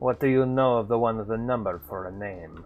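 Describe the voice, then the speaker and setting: A man in a put-on character voice, at a medium pitch and a fairly quick pace. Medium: game stream. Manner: grandiose, oddly worded.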